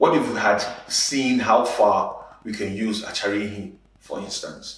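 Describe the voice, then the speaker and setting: At a very slow pace, the man says his lines. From Nigeria, Igbo. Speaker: spoken word poet, advertising creative director, conference speaker. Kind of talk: conference talk, conversational speech. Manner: conversational, punchy.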